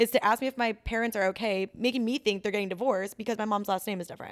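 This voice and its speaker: This is an ordinary speaking voice with an American accent and ordinary pitch variation. The recording is very clean, with a silent background. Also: woman. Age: 20s. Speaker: saleswoman. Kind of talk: casual chat.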